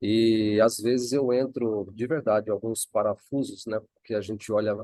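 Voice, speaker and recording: The man's tone is dark and mellow. His sound is dry and close, with no echo. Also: medium pitch for a man, fairly even intonation, moderate pace. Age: 50s. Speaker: training participant. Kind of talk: casual chat.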